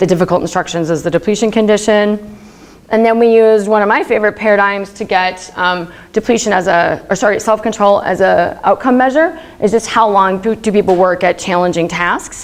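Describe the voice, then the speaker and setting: Speaking at a fairly quick pace, a woman uses a medium pitch. Her pitch variation is ordinary. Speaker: research psychologist. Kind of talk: academic talk. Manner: casual, filler-heavy; fast.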